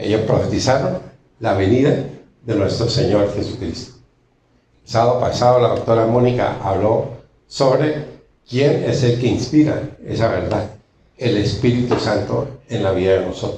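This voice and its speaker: A man with medium pitch and ordinary pitch variation speaks at a fairly slow pace with long, frequent pauses. His voice is somewhat breathy with a dark, mellow tone, and there is audible room echo. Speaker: preacher. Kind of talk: sermon.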